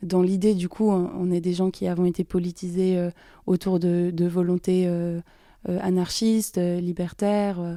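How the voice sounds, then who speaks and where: A woman with a fairly low pitch, a fairly slow pace and monotone, flat intonation, in a very clean recording over a silent background. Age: 20s. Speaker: activist. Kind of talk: testimony. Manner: halting.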